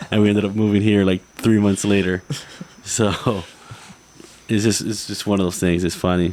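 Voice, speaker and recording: A man with an American accent talks in a fairly low voice at a moderate pace, his intonation monotone and flat. Long, frequent pauses break up his speech, and there is noticeable background noise. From South Florida. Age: 30s. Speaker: fishing artist. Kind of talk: podcast interview chat.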